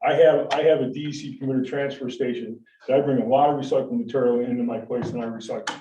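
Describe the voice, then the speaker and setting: A man with an American accent talks very fast, his intonation fairly even. Room echo is audible. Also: medium pitch for a man. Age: 60s. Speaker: waste hauling business owner. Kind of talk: public meeting presentation. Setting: town board meeting room. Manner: halting, many repetitions and fillers.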